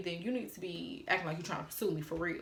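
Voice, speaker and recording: A woman speaks fairly quickly in an animated tone with lively intonation. Room echo is audible. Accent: slight Atlanta. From Atlanta, Georgia, US South. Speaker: YouTuber. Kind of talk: storytime vlog.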